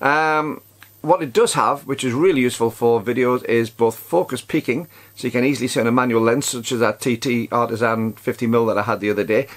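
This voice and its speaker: A man talks fairly quickly, his medium pitch showing ordinary pitch variation. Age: 60s. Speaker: camera reviewer YouTuber. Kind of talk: product review vlog. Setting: outdoors. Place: home room.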